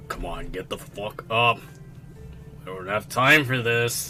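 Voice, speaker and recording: A man's put-on character voice, gruff and medium in pitch, at a fairly slow pace over clear background music. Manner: impatient, irritated.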